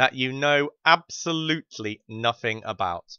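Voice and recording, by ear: A man speaks at a medium pitch with lively intonation and a bright, sharp, yet clear, smooth tone. The sound is dry and close, with no echo.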